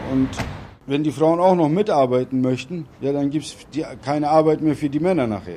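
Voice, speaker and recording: With noticeable background noise, a man of fairly high pitch talks at a moderate pace, with ordinary pitch variation and long, frequent pauses. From Bremen, Germany. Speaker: Turkish returnee. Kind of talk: interview.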